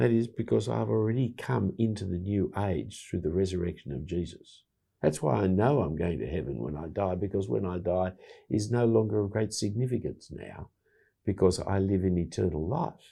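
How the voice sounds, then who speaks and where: Against a quiet background, a man with an Australian accent speaks at a moderate pace in a very deep, low pitch with vocal fry, a dark, mellow tone and lively intonation. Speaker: bible teacher and evangelist. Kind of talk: casual chat.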